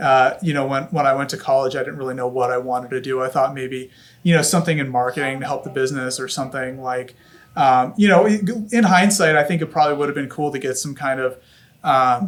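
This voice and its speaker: A man with a Californian accent speaks fairly quickly, his fairly high pitch showing ordinary variation. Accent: Californian American. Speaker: family sausage business owner. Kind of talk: podcast interview, casual chat. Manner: hesitant, many fillers.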